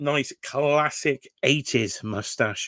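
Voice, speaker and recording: Recorded with a dry, close sound and no echo, a man speaks in a British accent. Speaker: toy collector YouTuber. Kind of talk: live reaction commentary. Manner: casual, conversational.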